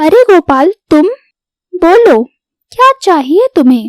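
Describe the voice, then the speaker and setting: A woman performs a cartoonish character voice at an extremely high pitch. Her pitch swings very widely. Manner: brisk, self-assured.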